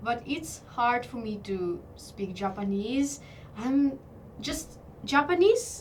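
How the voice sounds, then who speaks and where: A woman with a Ukrainian accent speaks in a high pitch at a fairly slow pace, her intonation lively and her loudness swinging widely. She leaves long, frequent pauses, and the room echo is audible. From Ukraine, Kyiv. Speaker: model. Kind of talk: interview. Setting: studio. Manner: halting.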